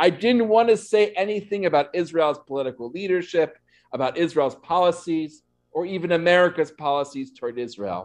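The setting behind the speaker is quiet. A man delivers his words at a medium speed. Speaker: rabbi. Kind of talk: sermon. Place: church. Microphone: podium.

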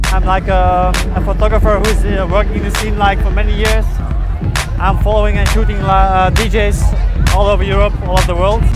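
Over loud background music, a man talks at a fairly quick pace with a dry sound with no echo. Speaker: photographer. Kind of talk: interview answer. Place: open country.

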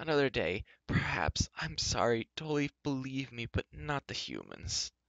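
Put-on character voice from a man, medium in pitch with big pitch swings, vocal fry and a fairly bright tone, fairly slow, in a dry, close sound with no echo.

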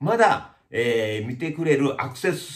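Against a quiet background, a man speaks at a fairly slow pace with vocal fry and very wide pitch swings. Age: 50s. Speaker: YouTuber, village chief of lifestyle community; channel host. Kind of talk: casual vlog monologue. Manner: many hesitation fillers. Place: shop.

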